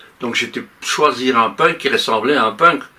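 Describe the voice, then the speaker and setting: A man pitched fairly high talks at a fairly slow pace while noticeable background noise carries on behind him. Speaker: music producer and singer. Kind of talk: talk show interview.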